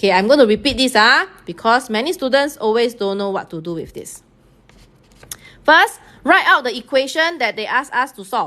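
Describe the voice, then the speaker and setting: A woman's high-pitched voice in a Singaporean accent, bright and sharp in tone, at a moderate pace, with very wide pitch swings and big swings in loudness. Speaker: math teacher. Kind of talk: live-streamed tutorial. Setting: online live stream.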